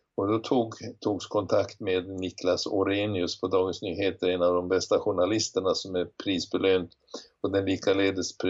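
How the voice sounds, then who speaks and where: Here a man talks with a very deep, low pitch. His intonation is monotone and flat, and his pace is moderate. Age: 70s. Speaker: retired physician and professor. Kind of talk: interview. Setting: remote recording.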